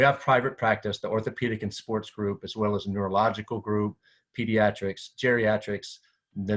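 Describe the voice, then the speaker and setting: Fairly quick, monotone, flat speech from a man with a fairly low pitch, against a quiet background. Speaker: physical therapy association director. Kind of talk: presentation. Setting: screen-share video presentation. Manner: fast.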